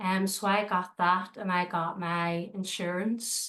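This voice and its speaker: A woman with a Northern Irish accent, medium in pitch and bright and sharp in tone, very slow and monotone with flat intonation. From Northern Ireland, Belfast. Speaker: dog trainer and dog walker. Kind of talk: interview. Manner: hesitant, many fillers.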